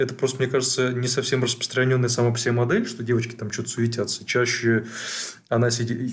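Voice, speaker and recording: Against noticeable background noise, a man talks at a very fast pace and a medium pitch. His intonation stays monotone and flat. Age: 40s. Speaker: psychologist podcast co-host. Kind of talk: casual chat.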